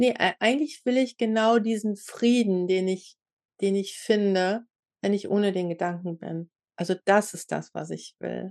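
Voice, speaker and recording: A woman has an ordinary speaking voice, medium in pitch with ordinary pitch variation, at a fairly slow pace. The sound is dry and close with no echo, over a quiet background. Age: 50s. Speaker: podcast host and inquiry coach. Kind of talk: casual chat.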